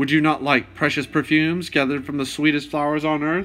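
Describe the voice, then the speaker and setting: With faint music in the background, a man uses a gruff, put-on character voice, fairly high in pitch and monotone, talking fairly quickly. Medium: read story. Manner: formal, probing.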